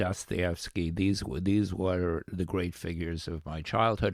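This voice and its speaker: This man has a very deep, low pitch. His intonation stays fairly even. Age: 80s+. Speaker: history professor. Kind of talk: interview. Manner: halting, repeats words.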